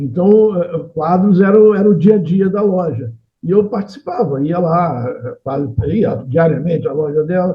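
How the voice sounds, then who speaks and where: A man with a high pitch and lively intonation speaks at a fairly slow pace. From Rio de Janeiro, Brazil. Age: 70s. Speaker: painter and engineer. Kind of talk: interview. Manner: halting.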